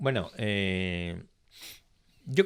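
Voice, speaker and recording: On a very clean recording with a silent background, the voice rises and falls in very wide pitch swings. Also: man. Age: 60s. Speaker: business executive, pharmacist by training. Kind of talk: interview.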